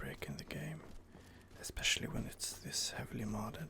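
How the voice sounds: A man whispers with vocal fry. His pace is moderate.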